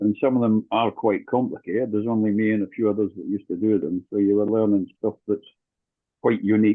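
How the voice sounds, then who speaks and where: A man speaks with a northern English accent. His pitch is fairly low and his pace fairly quick. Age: 60s. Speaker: dance teacher. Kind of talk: casual chat.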